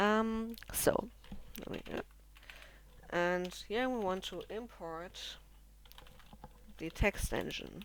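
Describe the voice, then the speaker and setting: The speaker has a non-native accent and a very slow pace. Pauses are long and frequent. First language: not English. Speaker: programming tutorial creator. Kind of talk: tutorial. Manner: halting, many fillers. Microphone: poor recording quality.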